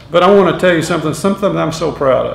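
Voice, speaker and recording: Amid noticeable background noise and audible room echo, a man with a Tennessee accent speaks at a high pitch. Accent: Southern US (Tennessee). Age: 60s. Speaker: hall of fame inductee. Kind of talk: acceptance speech. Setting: school assembly with audience. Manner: halting.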